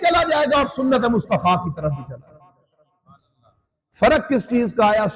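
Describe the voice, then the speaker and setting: Very wide pitch swings mark this man's speech. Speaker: Islamic scholar giving a sermon. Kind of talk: Islamic sermon (bayan) delivered to an audience.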